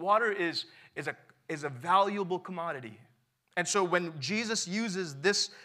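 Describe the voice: Someone reads aloud plainly, with quiet surroundings.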